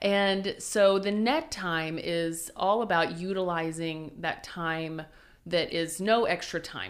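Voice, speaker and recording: A plain, everyday voice with an American accent and ordinary pitch variation. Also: woman. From Oklahoma, US. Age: 30s. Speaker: church consulting entrepreneur. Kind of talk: interview conversation.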